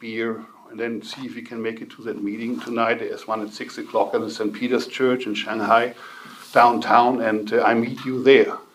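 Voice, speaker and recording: Through noticeable background noise, a man speaks with a German accent. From northern Germany. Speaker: recovery speaker. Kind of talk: testimony.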